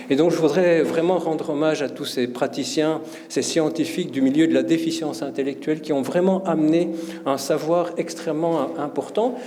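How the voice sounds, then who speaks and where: A man talks at a moderate pace with a fairly high pitch. Audible room echo and noticeable background noise surround his voice. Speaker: professor and conference speaker. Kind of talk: conference talk. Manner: hesitant, many fillers and repetitions.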